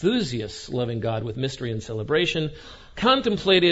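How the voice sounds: A reading voice that sounds natural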